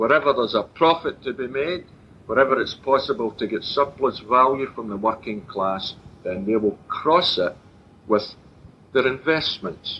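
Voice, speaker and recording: With a Glaswegian accent and lively intonation, a man of medium pitch speaks at a moderate pace. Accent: Glaswegian Scottish. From Scotland, Glasgow and Clydebank area. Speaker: political speaker. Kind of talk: public political talk.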